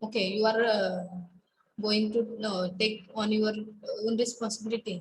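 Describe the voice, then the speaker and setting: A woman's somewhat breathy, flat, monotone voice at a fairly slow pace, with audible room echo and light background noise. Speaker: college lecturer. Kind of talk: online class lecture. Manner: halting, many fillers. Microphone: webcam.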